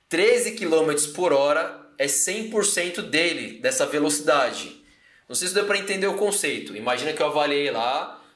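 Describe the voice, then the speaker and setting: Lively intonation from a man, with audible room echo. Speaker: fitness coach and educator. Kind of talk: live-stream lecture. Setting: live stream on YouTube and Instagram. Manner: casual, conversational.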